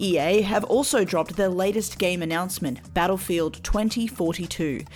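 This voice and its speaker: Over music in the background, a woman talks at a moderate pace and medium pitch with ordinary pitch variation. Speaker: news segment presenter. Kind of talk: news reading. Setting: radio studio.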